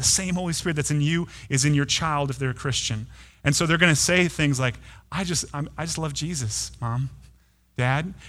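A bright, sharp voice moves at a fairly quick pace with ordinary pitch variation, and audible room echo surrounds it. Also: man. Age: 30s. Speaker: pastor. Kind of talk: sermon. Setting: church. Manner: halting, frequent repeated words.

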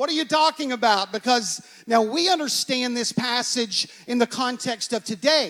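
Ordinary pitch variation runs through speech at a moderate pace. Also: man, extremely high pitch for a man. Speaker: pastor. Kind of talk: sermon. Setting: church.

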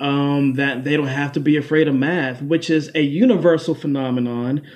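An unremarkable speaking voice from a man with an American accent, fairly high in pitch, with ordinary pitch variation and a moderate pace. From Washington D.C. area, Prince George's County, Maryland. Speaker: beatboxer and vocal artist. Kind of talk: casual interview.

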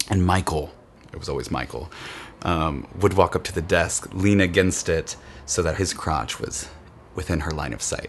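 Over noticeable background noise, a man talks in a very deep, low voice with ordinary pitch variation. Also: moderate pace. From Kansas. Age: 30s. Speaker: interviewee. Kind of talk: personal testimony.

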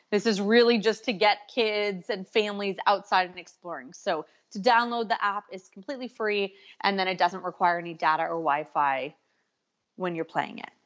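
A woman with an American accent talks at a moderate pace in an unremarkable speaking voice, medium in pitch with ordinary pitch variation and big swings in loudness. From California. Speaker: educational tech company representative. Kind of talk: interview.

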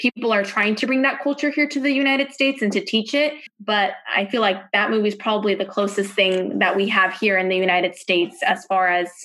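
A woman talks in an unremarkable speaking voice with ordinary pitch variation. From Wichita, Kansas. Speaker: daughter of guest family. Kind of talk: interview.

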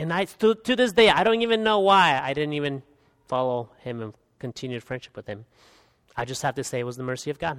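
This man speaks very fast at a fairly high pitch, with very wide pitch swings and big swings in loudness. The recording is very clean, dry and close with no echo, and the background is silent. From Guatemala. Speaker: pastor. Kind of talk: sermon. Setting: church.

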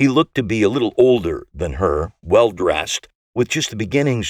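Against a quiet background, the speaker is plainly reading aloud with lively intonation.

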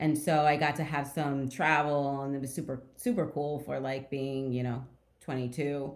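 With audible room echo, a woman speaks at a fairly slow pace in a very deep, low pitch and a flat, monotone delivery. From New Jersey, near Trenton and Montclair. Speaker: real estate executive. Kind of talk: interview.

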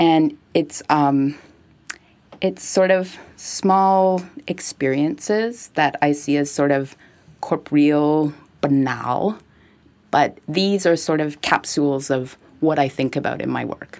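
A woman's very deep, low voice in a Montreal accent, very slow in pace, with ordinary pitch variation. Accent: Anglo-Montreal Canadian English. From Montreal, Quebec (anglophone, Westmount). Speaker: art gallery director and artist. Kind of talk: casual interview conversation. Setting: recorded in Montreal.

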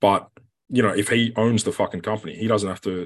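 A man with an Australian accent, fairly quick pace and fairly even intonation. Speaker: rugby player. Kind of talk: casual chat. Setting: video call.

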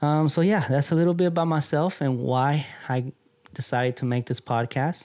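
A man with an American accent speaks at a moderate pace. His tone is dark and mellow, and his intonation fairly even. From US West Coast, San Francisco Bay Area. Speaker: fishing podcast host. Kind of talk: casual monologue. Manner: casual, hesitant with fillers.

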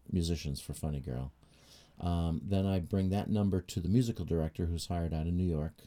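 With an American accent, a man talks at a moderate pace in a very deep, low pitch, with a dark, mellow tone and ordinary pitch variation. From New Hampshire, US. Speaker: trumpet player and music teacher. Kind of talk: interview conversation. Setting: in-person interview at his home town.

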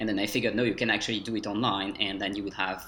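With a French accent, a man speaks in a bright, sharp tone, his fairly low pitch following fairly even intonation. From France, Dijon. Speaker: French language coach. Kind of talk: interview.

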